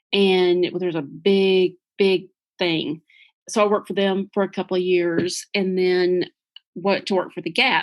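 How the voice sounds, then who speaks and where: Recorded very cleanly against a silent background, a woman speaks in a Southern US accent at a moderate pace. Her pitch is medium and her intonation fairly even. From US South, Kentucky. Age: 50s. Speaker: small business owner, former preschool ministry worker. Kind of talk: podcast interview.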